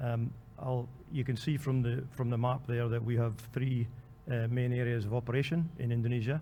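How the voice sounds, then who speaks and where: A somewhat breathy, monotone, flat male voice at medium pitch with a Scottish accent, heard with audible room echo. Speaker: oil company country manager. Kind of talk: conference panel talk. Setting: convention hall panel. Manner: hesitant, many fillers.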